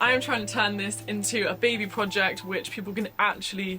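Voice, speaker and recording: Music plays in the background as a woman speaks with a southern English accent. Her pace is fairly quick and her pitch varies in an ordinary way. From England, near London. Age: 20s. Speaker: lifestyle vlogger. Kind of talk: casual vlog voice-over.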